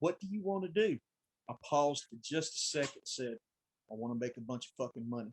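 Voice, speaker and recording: A man with a Southern US accent, fairly quick and lively in intonation, in a dry, close sound with no echo. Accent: deep country Southern. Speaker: branch manager at a supply company. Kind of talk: casual chat.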